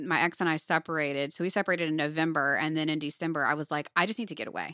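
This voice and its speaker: A woman speaks at a very fast pace in a bright, sharp tone, on a very clean recording with a silent background. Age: 30s. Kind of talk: casual chat.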